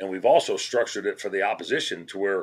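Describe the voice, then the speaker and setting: A man with an American accent is heard on a very clean recording where the background is silent. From Colorado. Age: 60s. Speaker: trapper and anti-ballot campaigner. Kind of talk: podcast interview.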